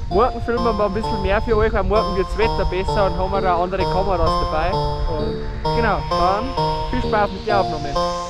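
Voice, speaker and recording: A man speaks at a moderate pace, and the sound is dry with no echo. Loud music plays in the background. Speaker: vlogger. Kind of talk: casual vlog chat. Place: open country. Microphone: phone near.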